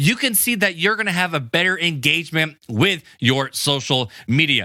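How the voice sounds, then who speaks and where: A man's raised, projected voice, animated in tone, fairly quick in pace, with very wide pitch swings. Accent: American. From US Midwest (Hammond, Indiana). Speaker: podcast host. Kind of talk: casual podcast talk. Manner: fast.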